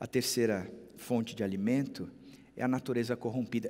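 At a moderate pace, a man with a plain, everyday voice speaks at a medium pitch with ordinary pitch variation. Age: 50s. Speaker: pastor. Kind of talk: sermon.

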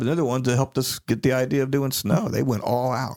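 An unremarkable speaking voice, a man's, holds a medium pitch at a moderate pace. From Florida, Daytona Beach area. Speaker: podcast co-host. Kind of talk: casual chat.

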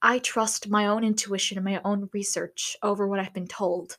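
Her intonation monotone and flat, a woman speaks at medium pitch. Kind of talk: casual solo monologue. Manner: hesitant, filler-heavy.

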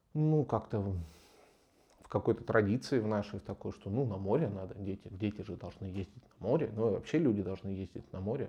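With ordinary pitch variation, a man speaks at a fairly low pitch. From Novosibirsk, Russia. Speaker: podcast co-host. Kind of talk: casual chat.

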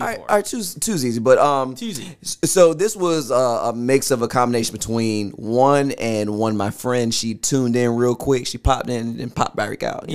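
An ordinary speaking voice from a man, medium-pitched and at a moderate pace. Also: ordinary pitch variation. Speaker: podcast guest asking audience-style questions.

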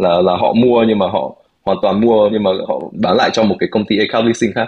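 A man talks at a fairly quick pace in a normal speaking voice. His pitch is fairly low. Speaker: podcast co-host. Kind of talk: casual discussion with English code-switching.

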